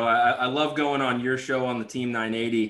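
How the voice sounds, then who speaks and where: A man talks in an ordinary speaking voice at medium pitch. His intonation is fairly even. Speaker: podcast host. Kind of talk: casual chat.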